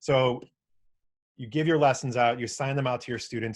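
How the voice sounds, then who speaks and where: The man speaks with fairly even intonation. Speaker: webinar presenter. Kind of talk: webinar tutorial. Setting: online webinar. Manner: fast; casual.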